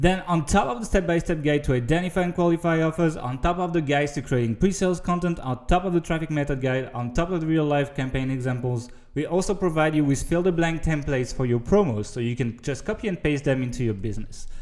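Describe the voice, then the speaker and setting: With a French accent, the speaker goes at a very fast pace with hardly any pauses and ordinary pitch variation. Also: man, fairly high pitch for a man. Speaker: online marketing course seller. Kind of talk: sales pitch.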